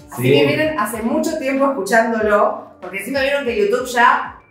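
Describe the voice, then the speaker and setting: A fairly high-pitched woman with an Argentine accent, very wide pitch swings and a fairly quick pace, music in the background. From Argentina. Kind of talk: casual talk to camera.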